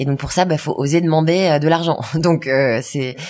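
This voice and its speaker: A woman speaks with a very deep, low pitch and fairly even intonation. Noticeable background noise runs beneath her. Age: 30s. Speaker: entrepreneur. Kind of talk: interview. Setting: stage with audience. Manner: fast.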